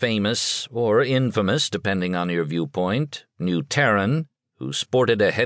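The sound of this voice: Lively intonation carries an unforced reading voice against a quiet background.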